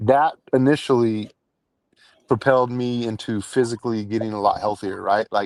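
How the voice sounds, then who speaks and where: In a normal speaking voice, a man talks at a medium pitch. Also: fairly even intonation, moderate pace, dry, close sound with no echo. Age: 40s. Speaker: professional poker player. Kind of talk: casual chat.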